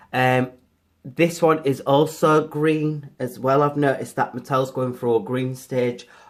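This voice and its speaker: Fairly even intonation runs through this voice with a British accent. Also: man, medium pitch for a man, fairly slow pace. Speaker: toy reviewer. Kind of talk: product review.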